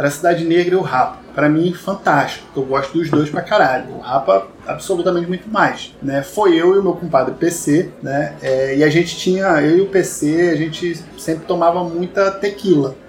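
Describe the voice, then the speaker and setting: A man with a high pitch and ordinary pitch variation talks at a moderate pace with hardly any pauses. Noticeable background noise sits behind him. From Rio de Janeiro state, Vassouras. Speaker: podcast host. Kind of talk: casual chat among friends.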